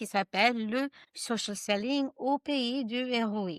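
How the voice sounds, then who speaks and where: In a very clean recording with a silent background, a woman speaks very slowly with ordinary pitch variation in a dry, close sound with no echo. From United States. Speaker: social selling trainer and author. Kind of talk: podcast interview. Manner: hesitant, with fillers.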